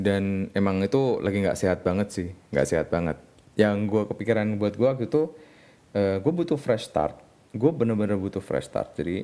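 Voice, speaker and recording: A man's fairly low voice with lively intonation at a moderate pace. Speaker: podcast host, web developer. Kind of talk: casual solo monologue. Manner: halting, many fillers.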